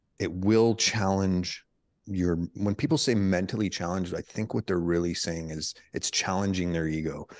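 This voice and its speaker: A man with a Canadian accent talks at a moderate pace over a quiet background. His pitch is very deep and low, with ordinary variation. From Canada. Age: 40s. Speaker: former special forces soldier. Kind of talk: casual interview.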